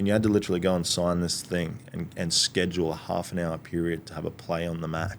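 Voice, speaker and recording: A man speaks at a fairly quick pace with a very deep, low pitch. His intonation is monotone and flat. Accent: Australian. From Australia, Brisbane area. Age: 30s. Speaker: outdoor social group founder, former chef. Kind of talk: casual chat.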